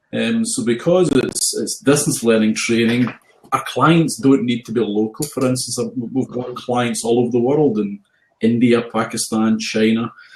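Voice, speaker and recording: A man in a strong Scottish accent, with fairly even intonation. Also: medium pitch for a man, moderate pace. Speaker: health and safety trainer. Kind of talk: casual chat.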